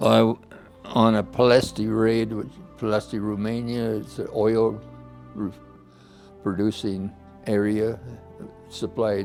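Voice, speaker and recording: A man in an American accent at a very slow pace, with music in the background. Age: 90s. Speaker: war veteran. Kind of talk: interview testimony. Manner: halting.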